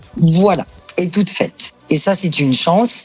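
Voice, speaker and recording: A woman talks at a fairly slow pace with ordinary pitch variation. Noticeable background noise is heard behind her. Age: 60s. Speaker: association president, accountant and saxophonist. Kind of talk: interview. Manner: hesitant, many fillers.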